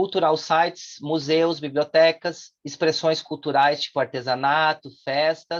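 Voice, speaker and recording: Speaking fairly slowly, this man has a voice pitched high. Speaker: course instructor. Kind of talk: online lecture.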